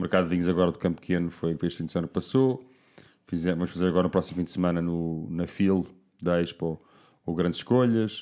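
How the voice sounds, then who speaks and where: On a very clean recording with a silent background, a man speaks very fast in a very deep, low pitch. His tone is dark and mellow, and his intonation fairly even. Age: 40s. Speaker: wine producer. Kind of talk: casual chat.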